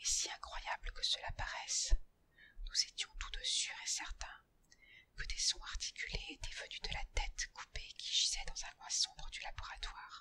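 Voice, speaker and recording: A woman whispers, taking a fairly slow pace. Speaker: ASMR artist. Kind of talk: whispered horror story reading for sleep. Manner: whispered, soft.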